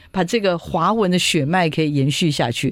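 The speaker has a Taiwanese accent and an animated tone. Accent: Taiwanese Mandarin. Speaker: radio host. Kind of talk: radio interview. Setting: studio.

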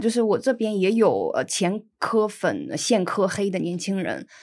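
A woman with a northeastern Chinese accent talks at a fairly slow pace in a fairly high pitch with ordinary pitch variation. The recording is very clean, with a silent background. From Inner Mongolia, northern China. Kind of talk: casual interview chat.

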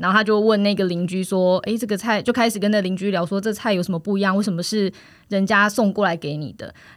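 On a very clean recording with a silent background, a woman speaks very fast at medium pitch with fairly even intonation. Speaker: food co-op member. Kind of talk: casual interview.

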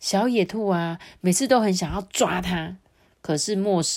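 The pitch shifts in an ordinary way. The delivery is an unforced reading voice.

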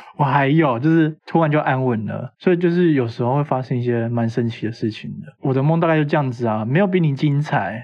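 A man talks at a medium pitch in a plain, everyday voice. His pitch varies in an ordinary way, with hardly any pauses. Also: fairly quick pace. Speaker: podcast host. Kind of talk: casual chat.

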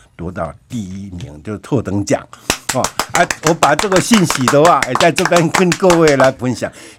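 Music plays in the background. A man's pitch swings very widely as he speaks. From Taiwan, Chiayi County. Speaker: village chief and coffee farmer. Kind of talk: radio interview. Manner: halting, many fillers.

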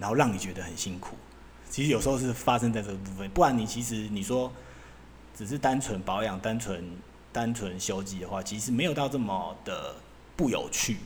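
Audible room echo surrounds the speech. It runs at a fairly quick pace with ordinary pitch variation. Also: man, fairly low pitch for a man. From Taiwan. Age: 40s. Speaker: podcast host, former semiconductor equipment engineer. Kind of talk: casual solo monologue. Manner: loose, filler-heavy, casual with swearing.

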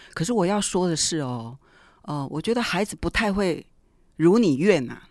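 In a very clean recording with a silent background and a dry, close sound with no echo, a woman with an ordinary speaking voice talks at a fairly quick pace in a fairly low pitch with lively intonation. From Taiwan, Taichung. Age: 50s. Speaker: middle school art teacher. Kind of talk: interview.

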